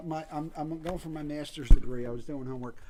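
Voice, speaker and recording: Speaking at a fairly quick pace, a man uses a plain, everyday voice that is fairly high in pitch. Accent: American. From Philadelphia. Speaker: graduate student and activist. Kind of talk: casual chat.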